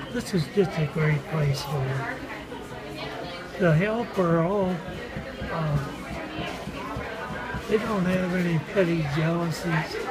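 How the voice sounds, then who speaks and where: A man talks with long, frequent pauses. Loud background noise runs underneath. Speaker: restaurant worker, former dairy farmer. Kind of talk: interview answer. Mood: warm, fond. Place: cafe.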